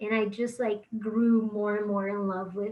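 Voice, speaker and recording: This woman has a Portuguese accent and a fairly high pitch. She speaks at a moderate pace with monotone, flat intonation. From Brazil. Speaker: musician. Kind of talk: interview.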